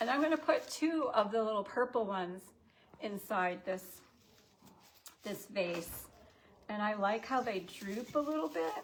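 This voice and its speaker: A woman at a fairly slow pace and fairly high pitch, lively intonation broken by long, frequent pauses. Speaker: shop owner hosting live sale. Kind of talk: live sales stream. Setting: livestream. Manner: animated.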